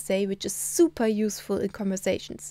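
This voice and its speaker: A woman with a German accent speaks at a medium pitch in a dark, mellow tone with ordinary pitch variation. The recording is very clean with a silent background, and the sound is dry and close with no echo. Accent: German accent in Na'vi. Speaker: language teacher. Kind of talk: tutorial.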